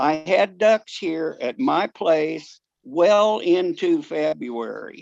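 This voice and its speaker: A man with an American accent speaks at a high pitch and a very slow pace, his voice swinging very widely in pitch. The sound is dry and close with no echo, over a quiet background. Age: 70s. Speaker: duck hunter, public commenter. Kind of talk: public comment at meeting. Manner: halting, repeats words.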